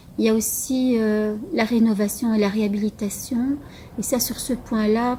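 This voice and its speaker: With noticeable background noise behind her, a woman speaks fairly slowly at a fairly high pitch with fairly even intonation. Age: 50s. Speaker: local election candidate. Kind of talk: campaign statement. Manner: halting, with many hesitations.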